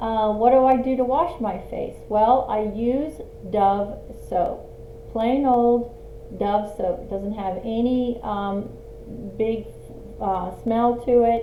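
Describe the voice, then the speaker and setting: The speech moves at a very slow pace with fairly even intonation. Room echo can be heard. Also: woman, fairly high pitch for a woman. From Australia. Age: 60s. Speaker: lifestyle vlogger. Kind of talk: casual tutorial. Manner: halting with fillers.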